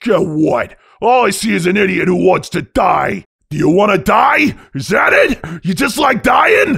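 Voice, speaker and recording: A put-on character voice from a man, shouting, raspy and high-pitched, at a moderate pace. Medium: dub. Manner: gruff, exasperated.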